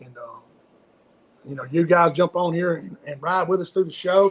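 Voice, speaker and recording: A man with a Southern US accent and high pitch speaks at a moderate pace. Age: 50s. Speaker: fishing guide and livestream host. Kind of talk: casual livestream chat. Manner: animated.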